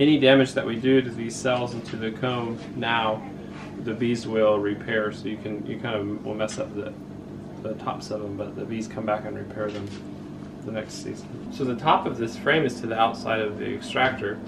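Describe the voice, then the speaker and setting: There is noticeable background noise as a man speaks at a moderate pace. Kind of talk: tutorial. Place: home room. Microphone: camera far.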